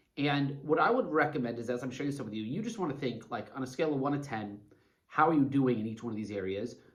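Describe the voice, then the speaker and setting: Audible room echo surrounds a man speaking very fast with lively intonation. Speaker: life coach. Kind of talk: motivational talk to camera. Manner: animated.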